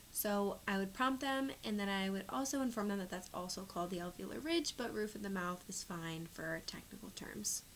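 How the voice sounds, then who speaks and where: A woman with an unremarkable speaking voice at a medium pitch, a moderate pace with hardly any pauses, and lively intonation. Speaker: speech therapy student or clinician. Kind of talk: instructional explanation to camera.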